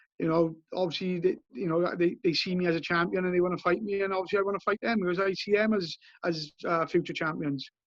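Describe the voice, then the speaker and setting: A man with a Welsh accent speaks very fast in a high voice. His intonation stays fairly even. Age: 30s. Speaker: bare-knuckle boxer. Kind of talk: interview. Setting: outdoors on a beach. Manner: halting.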